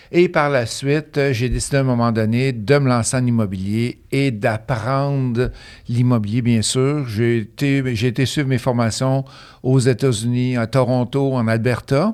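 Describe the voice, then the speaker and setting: Speaking at a fairly slow pace, a man with a medium pitch and a slight Quebec accent keeps his intonation fairly even on a very clean recording with a silent background. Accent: slight Beauce Quebec French. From Beauce, Quebec. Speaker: real estate investor and coach. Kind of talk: interview, casual conversation.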